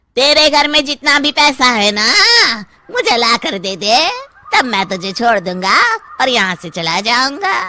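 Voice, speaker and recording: Using a cartoonish character voice, a man speaks in a raised, projected voice at an extremely high pitch and a moderate pace. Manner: aggressive, spiteful.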